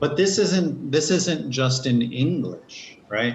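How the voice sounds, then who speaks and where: A man talks at a very slow pace with an American accent. His voice is somewhat breathy. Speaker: English teacher. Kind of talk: online class lesson.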